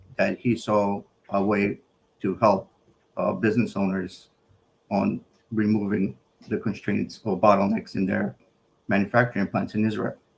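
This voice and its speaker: A man speaks at a moderate pace and a fairly low pitch, with vocal fry. Long, frequent pauses break up his speech. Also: ordinary pitch variation. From New York City, from age 13; born North Macedonia. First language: Macedonian. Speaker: electrical engineer and business buyer. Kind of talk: live interview.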